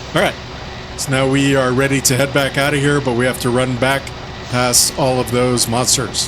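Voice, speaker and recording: A man's medium-pitched, monotone, flat delivery proceeds at a moderate pace through noticeable background noise. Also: very even loudness. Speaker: video game walkthrough host. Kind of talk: gameplay walkthrough commentary. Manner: casual, conversational.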